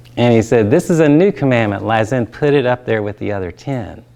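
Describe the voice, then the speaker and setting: With a Southern US accent, a man talks using ordinary pitch variation. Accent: Southern drawl. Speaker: pastor and trainer. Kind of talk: training talk with personal story.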